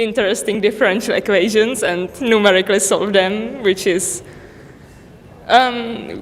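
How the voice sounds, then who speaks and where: There is audible room echo and noticeable background noise. A woman speaks with monotone, flat intonation. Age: 20s. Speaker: university student. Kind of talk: self-introduction at event.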